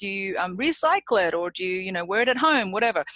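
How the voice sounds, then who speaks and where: In a dry, close sound with no echo, a woman with an Australian accent talks fairly quickly in a bright, sharp, medium-pitched voice with very wide pitch swings. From Australia, Sydney. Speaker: public speaking champion. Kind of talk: interview.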